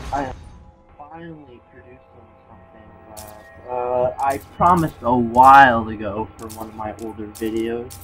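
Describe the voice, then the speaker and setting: Music plays in the background as a man speaks at medium pitch and a fairly slow pace. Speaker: gameplay commentator. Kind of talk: casual video game commentary. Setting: home recording, volume fading in and out.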